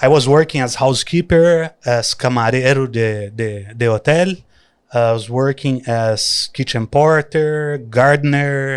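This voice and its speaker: Over a silent background in a very clean recording, a man with a Brazilian accent speaks fairly slowly at a medium pitch with ordinary pitch variation. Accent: Brazilian countryside. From countryside Brazil. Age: young. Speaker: traveler and influencer. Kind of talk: casual interview.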